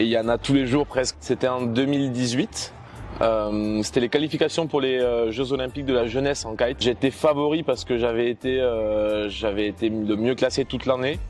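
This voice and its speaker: Speaking at a moderate pace, a man with a medium-pitched voice shows ordinary pitch variation. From southern France, Toulouse area. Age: 20s. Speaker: student entrepreneur, former kitesurf champion. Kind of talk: interview. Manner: hesitant with frequent filler sounds.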